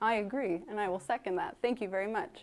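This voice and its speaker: At a moderate pace, a woman is talking. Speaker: firefighter giving a station tour. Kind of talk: guided walking tour. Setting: indoors at a fire station. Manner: soft-spoken.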